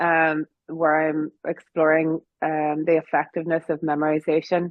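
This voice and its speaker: A woman in a Northern Irish accent talks at a fairly slow pace with a very deep, low pitch. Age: 40s. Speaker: piano teacher and music academy founder. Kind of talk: interview.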